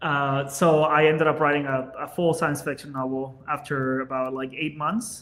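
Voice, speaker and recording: With a Spanish accent, a man talks at a moderate pace in a fairly high pitch, his intonation fairly even and hardly any pauses. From Venezuela. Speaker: business owner, podcast guest. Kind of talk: casual chat.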